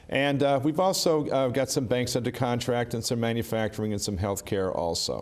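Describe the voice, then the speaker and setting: A man's ordinary speaking voice at a moderate pace with ordinary pitch variation. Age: 60s. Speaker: union official. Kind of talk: interview.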